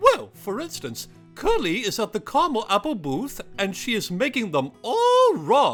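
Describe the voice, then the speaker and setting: A cartoonish character voice at a fairly high pitch moves at a moderate pace over faint music in the background. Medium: puppet. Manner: hesitant, fussy.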